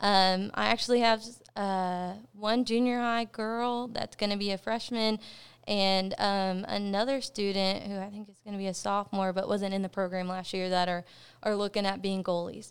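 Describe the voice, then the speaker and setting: A woman with an American accent speaks at a moderate pace in a medium pitch with fairly even intonation, in a plain, everyday voice, on a very clean recording with a silent background. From Texas, Cleburne. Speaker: high school soccer coach. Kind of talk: interview.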